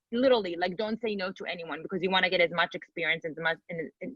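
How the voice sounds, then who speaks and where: In an Israeli accent, a woman talks at a very fast pace and a medium pitch with ordinary pitch variation and a bright, sharp tone, recorded close and dry with no echo. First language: Hebrew. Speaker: personal trainer and bodybuilder. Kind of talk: interview.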